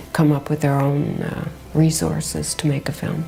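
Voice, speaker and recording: Over music in the background, a woman with an American accent speaks at a moderate pace in a very deep, low pitch. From United States. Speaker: fashion journalist and film festival founder. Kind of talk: interview answer.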